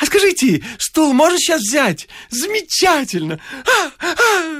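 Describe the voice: Putting on a character voice, a man speaks at an extremely high pitch with a fairly bright tone, very wide pitch swings, and a fairly slow pace.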